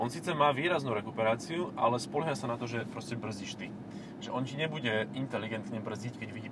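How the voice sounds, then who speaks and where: Amid noticeable background noise, a man with a medium pitch speaks at a very fast pace with lively intonation. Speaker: car podcast co-host. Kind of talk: casual chat. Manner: stammering.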